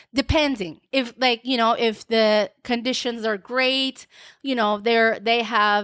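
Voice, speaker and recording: In a very clean recording with a silent background and a dry, close sound with no echo, a woman speaks at a fairly high pitch with a non-native accent. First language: not English. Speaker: podcast host. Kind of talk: solo podcast monologue. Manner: casual, hesitant with repeated words.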